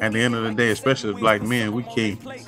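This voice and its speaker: Speech moves at a moderate pace with ordinary pitch variation over clear music in the background. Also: man. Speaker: remote podcast guest, cigar seller. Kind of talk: interview answer. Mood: relaxed, smiling, enthusiastic. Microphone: video call.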